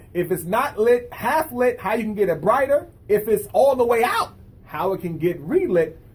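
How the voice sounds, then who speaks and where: A man with a high pitch and very wide pitch swings, in an upbeat, enthusiastic tone at a moderate pace, over noticeable background noise. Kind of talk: casual interview host talk.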